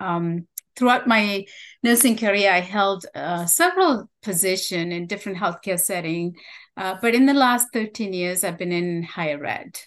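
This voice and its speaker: At a moderate pace, a woman with a medium pitch speaks in a warm tone with ordinary pitch variation against a quiet background. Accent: Tamil. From Sri Lanka. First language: Tamil. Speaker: nursing researcher and teacher. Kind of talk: interview conversation. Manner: warm, hesitant with fillers.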